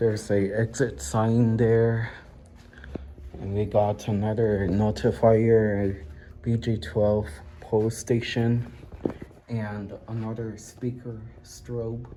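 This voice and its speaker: A man's medium-pitched voice at a very slow pace, with long, frequent pauses, fairly even intonation and noticeable background noise. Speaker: fire alarm hobbyist vlogger. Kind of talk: casual walkthrough vlog. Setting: indoors at a college building. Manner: hesitant, many fillers; quiet.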